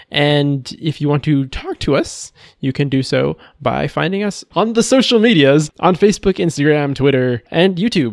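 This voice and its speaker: An ordinary speaking voice with lively intonation comes through with a dry, close sound and no echo. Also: man. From Texas. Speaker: podcast host. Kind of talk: casual chat.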